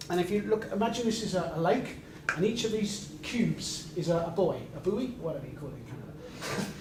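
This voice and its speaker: With a British accent, a man talks at a fairly quick pace in a high pitch with lively intonation, amid noticeable background noise and audible room echo. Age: 60s. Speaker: sales trainer. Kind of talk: lecture. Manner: animated.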